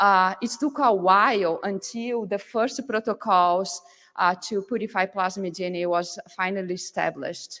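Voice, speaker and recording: A woman's medium-pitched voice, with fairly even intonation, keeps to a moderate pace. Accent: Brazilian Portuguese. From Brazil. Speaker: field application scientist. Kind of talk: conference presentation. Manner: halting, many fillers.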